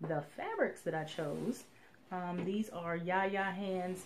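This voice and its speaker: Whispering quietly at a fairly slow pace, a woman is heard over noticeable background noise. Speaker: sewing vlogger. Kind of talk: casual tutorial-style vlog.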